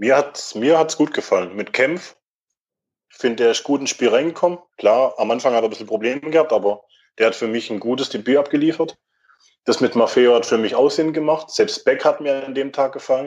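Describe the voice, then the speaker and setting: Against a quiet background, a man with a fairly high pitch talks in big swings of loudness. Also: ordinary pitch variation, fairly quick pace. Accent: Swabian. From Württemberg, Germany (Mühlacker). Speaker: football fan. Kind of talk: casual chat.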